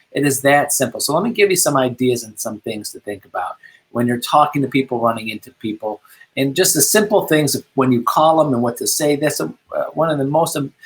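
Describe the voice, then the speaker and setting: This man talks at a fairly quick pace with a fairly high pitch and lively intonation. His voice is somewhat breathy. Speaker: real estate coach. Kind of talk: tutorial. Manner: mumbling.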